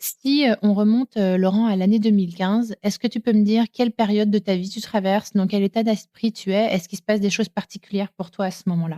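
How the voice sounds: A woman talks at a fairly quick pace with few pauses, using a medium pitch, a dark, mellow tone and fairly even intonation.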